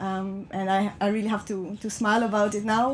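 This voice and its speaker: This woman has a fairly high, somewhat breathy voice with a slight non-native accent. Her intonation stays fairly even. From France. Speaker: speaker. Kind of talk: public talk. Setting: train compartment with passengers. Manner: halting.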